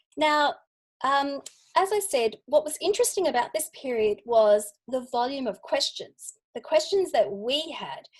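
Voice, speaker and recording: Against a quiet background, a woman with an Australian accent speaks fairly slowly at a high pitch, with very wide pitch swings. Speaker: UX researcher. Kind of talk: lightning talk presentation.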